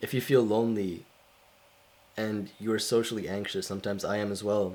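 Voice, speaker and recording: A man speaks at a moderate pace in a fairly low voice. His intonation is monotone and flat. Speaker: vlogger. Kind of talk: casual talk to camera. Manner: halting.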